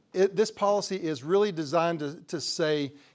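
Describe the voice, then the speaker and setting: A man with a West Texas accent speaks at a high pitch with ordinary pitch variation. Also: very clean recording, silent background. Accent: West Texas drawl. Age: 60s. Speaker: crop insurance agent. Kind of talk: presentation. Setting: conference talk to audience. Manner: halting, many repeated words.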